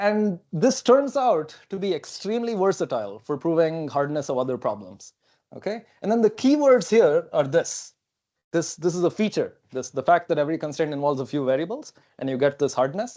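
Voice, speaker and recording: With a non-native accent, a man talks at a fairly quick clip in a high, dark and mellow voice that swings very widely in pitch, over a quiet background. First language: not English. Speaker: computer science professor. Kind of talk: lecture. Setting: seminar talk.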